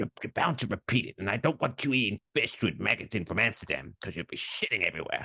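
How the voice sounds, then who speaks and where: A man performs in a put-on character voice. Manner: warning, storytelling.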